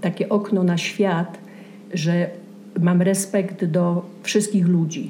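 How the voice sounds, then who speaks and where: Her pitch medium, the woman talks at a very slow pace. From southern Poland, Częstochowa. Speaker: Polish immigrant. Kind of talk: casual chat.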